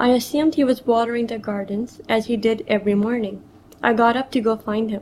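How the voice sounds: Fairly even intonation in a natural reading voice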